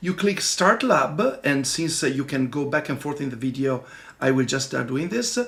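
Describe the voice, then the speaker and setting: With an Italian accent, a man with a fairly high pitch talks at a moderate pace in lively intonation over noticeable background noise. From Italy. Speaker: software developer and tech tutorial presenter. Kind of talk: tutorial. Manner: casual, halting with fillers.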